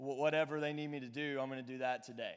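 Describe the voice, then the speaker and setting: Speaking with a Southern US accent, this man has a fairly high pitch. His pace is very fast. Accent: Southern twang. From Alabama. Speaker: pastor. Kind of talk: youth sermon. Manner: animated.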